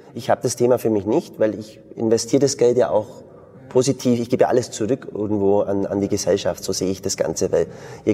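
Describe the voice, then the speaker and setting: Medium in pitch and fairly level in intonation, a man speaks in a plain, everyday voice. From Bavarian Swabia, southern Germany. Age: 40s. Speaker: martial arts school founder and entrepreneur. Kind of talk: interview conversation.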